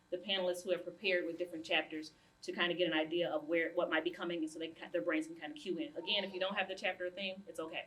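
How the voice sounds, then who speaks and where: Noticeable background noise sits behind the voice. A woman speaks at a very fast pace. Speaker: community group chair and facilitator. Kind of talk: panel discussion facilitation.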